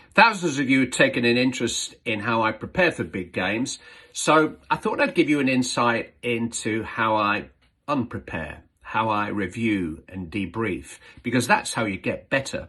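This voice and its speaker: Against a quiet background, a man with lively intonation and a medium pitch talks at a moderate pace, a plain, everyday voice. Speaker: football commentator. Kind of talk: casual talk to camera.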